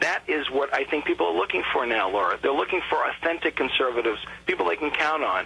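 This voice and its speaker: The speech is very fast, with very even loudness. Noticeable background noise runs underneath. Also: man. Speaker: political candidate being interviewed on a radio show. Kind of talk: radio interview answer.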